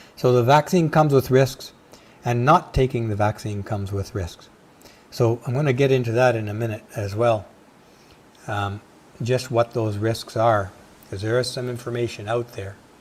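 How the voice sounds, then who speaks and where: Somewhat breathy, a man speaks with long, frequent pauses. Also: medium pitch for a man, ordinary pitch variation, moderate pace. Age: 60s. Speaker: video podcast host. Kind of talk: casual monologue.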